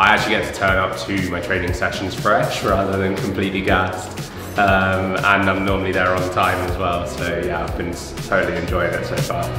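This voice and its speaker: Against clear music in the background and audible room echo, a man with a very deep, low pitch talks at a moderate pace with fairly even intonation. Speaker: interviewee. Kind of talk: interview answer. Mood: cheerful, relaxed. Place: home room.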